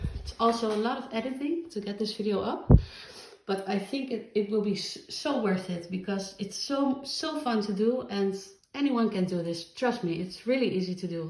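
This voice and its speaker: Noticeable background noise sits behind a woman with a non-native accent and a fairly high pitch. She speaks at a moderate pace with lively intonation. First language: not English. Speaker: crafter. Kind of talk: casual talk to camera.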